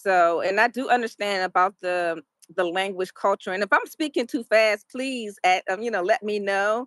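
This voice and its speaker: On a very clean recording with a silent background and a dry, close sound with no echo, a woman with a normal speaking voice talks at a moderate pace, in a medium pitch with ordinary pitch variation. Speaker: YouTuber and English teacher. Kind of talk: interview.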